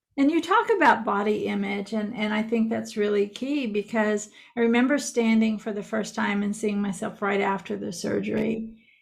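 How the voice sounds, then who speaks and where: A woman's fairly high voice with fairly even intonation, hardly any pauses, and noticeable background noise. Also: moderate pace. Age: 60s. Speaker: podcaster and author. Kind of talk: casual chat.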